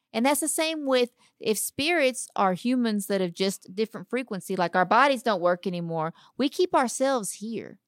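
Speaking in a Texan accent at a moderate pace, a woman uses a fairly high pitch with very wide pitch swings, recorded dry and close with no echo. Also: very clean recording, silent background. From Texas, small town (Dayton). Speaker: paranormal investigator and model. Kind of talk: casual chat.

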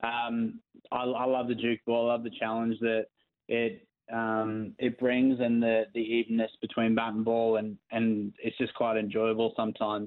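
An Australian accent marks this man's speech. His intonation is monotone and flat, and his loudness stays very even. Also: medium pitch for a man, moderate pace. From born in England, raised partly in New Zealand, now plays for Australia. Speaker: professional cricketer. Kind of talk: interview. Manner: hesitant, many fillers.

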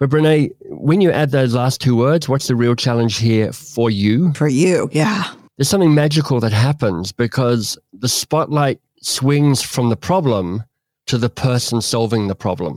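A man with an Australian accent, medium in pitch, lively in intonation and fairly slow, at a very even loudness, on a very clean recording with a silent background and a dry, close sound with no echo. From Australia (Canberra). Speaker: author and coach. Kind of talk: interview conversation.

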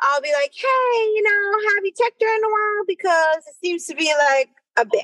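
A woman with an American accent and very wide pitch swings, in a dry, close sound with no echo. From US Northeast, New York City. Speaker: obstetrician-gynecologist. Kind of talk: casual interview.

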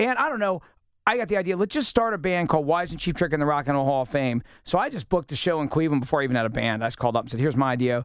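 A man talks very fast with a fairly high pitch and lively intonation. The recording is very clean with a silent background. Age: 40s. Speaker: musician, singer-songwriter. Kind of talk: casual chat. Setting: studio.

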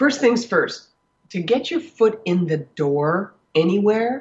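Slow speech with a husky, rough edge, big pitch swings and a slightly mellow tone. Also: woman, medium pitch for a woman.

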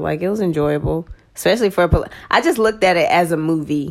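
This is a plain, everyday voice with an American accent and ordinary pitch variation. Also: woman. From Texas. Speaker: movie review podcast co-host. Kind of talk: casual chat.

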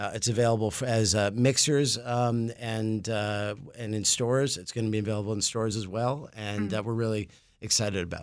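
A man with a normal speaking voice and an American accent talks at a fairly quick pace in a fairly low pitch with fairly even intonation, on a very clean recording with a silent background. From New York City. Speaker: brewery owner. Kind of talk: casual interview.

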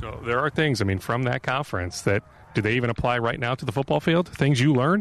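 A man with an American accent and medium pitch talks at a very fast pace. The sound is dry and close with no echo. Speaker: sports reporter and podcast host. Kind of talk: sports news podcast monologue and interview.

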